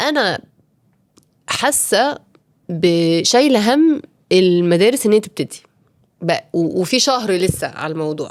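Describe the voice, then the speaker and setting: At a very slow pace, a woman speaks at medium pitch with long, frequent pauses. Her pitch swings very widely. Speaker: podcast host, working mother. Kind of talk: casual improvised monologue. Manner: halting, self-correcting; code-switching with English.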